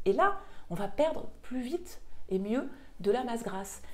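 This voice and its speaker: Moderate-paced speech from a woman amid noticeable background noise and audible echo in the room. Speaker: nutrition and weight-loss coach. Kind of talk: online course explainer video.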